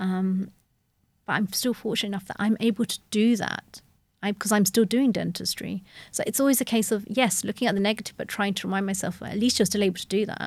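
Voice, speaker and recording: A woman's somewhat breathy, medium-pitched voice at a very fast pace, with fairly even intonation and a very clean recording with a silent background. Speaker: dentist. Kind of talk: interview.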